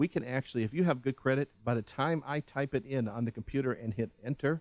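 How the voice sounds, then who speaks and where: A man with a normal speaking voice, medium pitch, ordinary pitch variation, and a fairly quick pace. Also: dry, close sound with no echo. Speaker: car dealership owner, radio show host. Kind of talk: radio sales talk show. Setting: radio studio.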